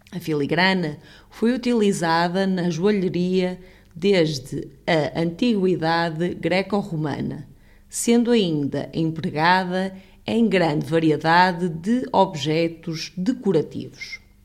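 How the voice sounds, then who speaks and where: Speaking with a European Portuguese accent, a woman uses a fairly low pitch, ordinary pitch variation and a fairly slow pace. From Portugal. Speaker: language teacher. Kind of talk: language lesson; reading aloud.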